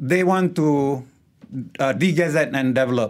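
In a Malaysian accent, a man speaks at a fairly high pitch with ordinary pitch variation, recorded very cleanly over a silent background. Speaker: wildlife photographer and ex-lecturer. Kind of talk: radio interview. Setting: studio.

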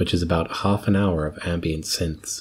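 Somewhat breathy, a man talks at a fairly slow pace in a very deep, low pitch with fairly even intonation. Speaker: community radio host. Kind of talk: radio dj patter. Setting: studio. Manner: chatty, conversational.

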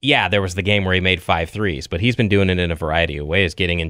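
With a very deep, low pitch and fairly even intonation, a man speaks at a very fast pace. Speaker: sports reporter and podcast co-host. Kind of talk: casual sports talk.

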